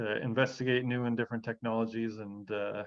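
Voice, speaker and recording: A man talks at a very fast pace in a fairly low pitch, his intonation flat and monotone. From Canada (Toronto, Ontario). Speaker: golf biomechanics researcher. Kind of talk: panel discussion. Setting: video call webinar. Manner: many fillers and repetitions.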